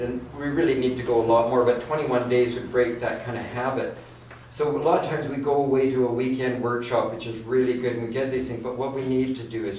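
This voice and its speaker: Speaking at a fairly quick pace with a Canadian accent, a man holds a medium pitch and fairly even intonation amid audible room echo and noticeable background noise. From Canada, West Vancouver. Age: 60s. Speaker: inspirational speaker. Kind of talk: guest talk at church service. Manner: halting, repeats words.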